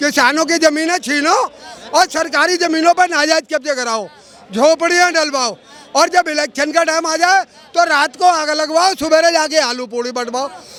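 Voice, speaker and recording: Crowd noise fills the background as a man raises and projects his voice. His pitch is extremely high, with ordinary variation. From India, Delhi. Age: 70s. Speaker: member of the public. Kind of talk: street interview. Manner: animated.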